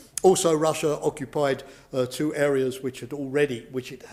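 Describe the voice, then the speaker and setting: At a fairly quick pace, a man with a British accent talks at a medium pitch. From Britain. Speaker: professor, former security official. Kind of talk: lecture. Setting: lecture hall with live and online audience. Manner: hesitant, many fillers.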